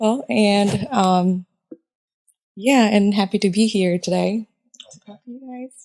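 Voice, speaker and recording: A woman's dark, mellow voice at a medium pitch, fairly slow pace with long, frequent pauses, dry and close with no echo. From Japan. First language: Japanese. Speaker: chemical engineer. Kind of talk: casual chat.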